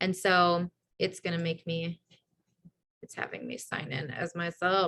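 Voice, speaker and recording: A woman's fairly low voice with a bright, sharp tone and fairly even intonation. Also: big swings in loudness. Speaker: team leader running a business training call. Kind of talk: online team training call with screen share. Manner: fast; casual, filler-heavy.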